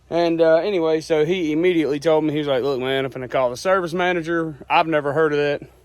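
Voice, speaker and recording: Speaking at a fairly quick pace, a man with a Southern US accent talks in a fairly high pitch. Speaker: rural landowner vlogger. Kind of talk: casual vlog narration.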